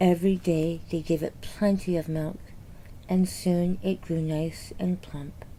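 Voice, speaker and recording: A woman whispers. Her pace is fairly slow. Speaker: children's book reader. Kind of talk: reading aloud. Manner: soothing, ASMR-like without whisper.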